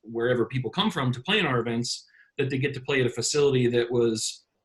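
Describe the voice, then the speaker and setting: Somewhat breathy, a man with an American accent talks fairly quickly at a medium pitch with ordinary pitch variation. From Florida, US. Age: 40s. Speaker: beach volleyball event organizer. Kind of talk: casual interview chat.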